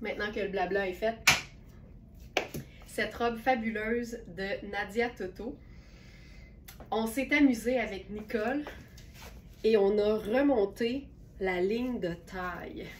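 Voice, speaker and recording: At a very slow pace with long, frequent pauses, a woman speaks at a fairly high pitch and with fairly even intonation. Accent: Quebec. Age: 60s. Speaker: online clothing store owner and live sales host. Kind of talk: live-stream sales presentation. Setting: live stream. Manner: casual, chatty with filler hesitations.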